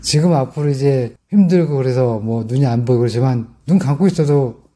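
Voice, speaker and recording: Very fast pace from a man at medium pitch, somewhat breathy and dark, mellow in tone, with ordinary pitch variation. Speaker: elderly driver interviewee. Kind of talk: street interview.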